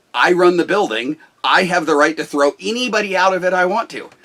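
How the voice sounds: A loud man with a bright, sharp tone.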